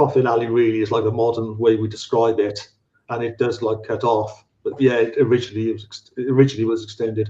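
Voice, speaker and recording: Somewhat breathy, a man with a Welsh accent talks at a fairly quick pace in a dark, mellow tone. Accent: Welsh, slightly anglicised. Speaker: paranormal researcher. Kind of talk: live podcast interview. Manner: halting, many repetitions.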